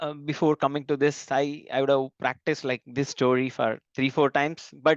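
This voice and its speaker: A man speaks at a moderate pace in a fairly high pitch. The sound is dry and close, with no echo. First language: not English. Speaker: software developer. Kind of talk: interview. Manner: halting.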